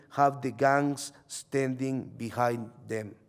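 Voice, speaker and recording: A man speaks with a Salvadoran accent. His pace is very slow. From El Salvador. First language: Spanish. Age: 30s. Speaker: journalist. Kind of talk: reading aloud.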